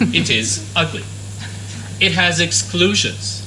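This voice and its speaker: A man in a Quebec accent amid noticeable background noise and audible room echo. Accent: Canadian French. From Canada, French-speaking region. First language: French. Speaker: conference speaker on international law. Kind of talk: conference presentation.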